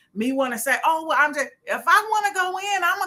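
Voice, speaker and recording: Raising and projecting her voice, a woman speaks at a moderate pace in an animated tone that is bright and sharp, with very wide pitch swings. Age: 60s. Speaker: event promoter and live show host. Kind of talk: casual live-stream chat.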